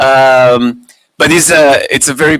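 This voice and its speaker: Recorded dry and close with no echo, a man speaks at a fairly high pitch in a bright, sharp tone. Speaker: physics lecturer. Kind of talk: lecture.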